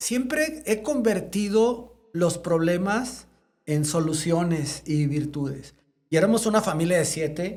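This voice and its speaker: Speaking at a very slow pace, a man with a high pitch uses lively intonation. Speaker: veterinarian and congress founder. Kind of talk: interview conversation. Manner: animated.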